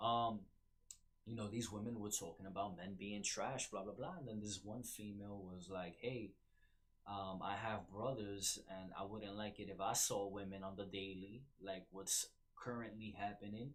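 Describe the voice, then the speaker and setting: A man with a New York accent speaks at a fairly low pitch with fairly even intonation. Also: moderate pace. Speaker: podcast host. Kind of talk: casual commentary monologue. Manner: hesitant, many fillers.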